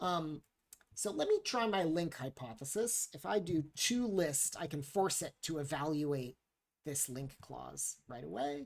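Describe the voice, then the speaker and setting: In a plain, everyday voice, a man speaks at a fairly slow pace with a fairly high pitch and lively intonation. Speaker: software developer live-streaming coding. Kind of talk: live-coding tutorial. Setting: live stream. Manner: casual, with many fillers.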